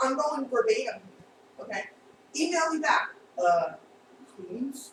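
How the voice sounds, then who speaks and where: With a Long Island accent, a woman speaks at a fairly slow pace in a high pitch, her voice making very wide pitch swings. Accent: Long Island New York. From Long Island, New York. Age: 50s. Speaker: actress. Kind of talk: casual chat. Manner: animated.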